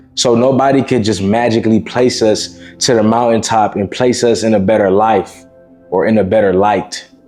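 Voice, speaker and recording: Music plays in the background as a man speaks at a medium pitch. His intonation is fairly even and his loudness very even. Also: moderate pace. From Miami. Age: 20s. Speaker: self-improvement content creator. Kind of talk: casual motivational talk to camera. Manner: informal, conversational.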